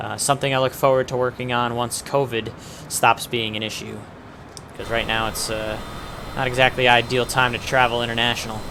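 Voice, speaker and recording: Amid noticeable background noise, a man with a medium pitch and a relaxed tone speaks at a fairly quick pace in a monotone, flat intonation. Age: 20s. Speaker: flight sim streamer. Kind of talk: live stream commentary. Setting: home streaming setup with webcam. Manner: casual, relaxed.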